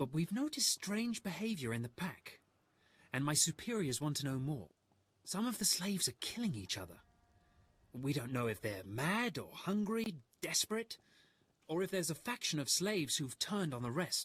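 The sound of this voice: Using a put-on character voice, a man talks at a fairly high pitch with big pitch swings and a moderate pace. The tone is fairly bright with a slightly husky edge.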